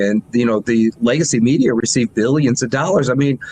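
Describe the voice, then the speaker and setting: A man of medium pitch at a fairly quick pace, with ordinary pitch variation and a dry, close sound with no echo. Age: 60s. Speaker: news platform founder. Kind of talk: interview. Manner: animated.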